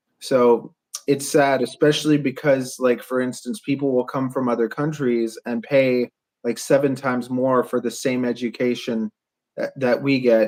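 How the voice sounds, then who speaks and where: With ordinary pitch variation and a medium pitch, a man speaks at a moderate pace in an unremarkable speaking voice. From Canada. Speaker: podcast host and drone builder. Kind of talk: casual podcast conversation.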